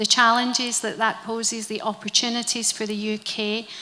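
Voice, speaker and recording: In a Scottish accent, a woman talks at a fairly high pitch with a bright, sharp tone and monotone, flat intonation. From Scotland. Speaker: member of parliament, panelist. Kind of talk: panel discussion.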